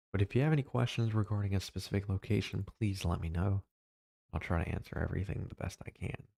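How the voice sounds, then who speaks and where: Soft-spoken and fairly low-pitched, a man talks at a very fast pace in a dark, mellow, somewhat breathy tone with ordinary pitch variation, the recording very clean with a silent background. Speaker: weather livestreamer. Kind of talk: live weather coverage. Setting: home livestream.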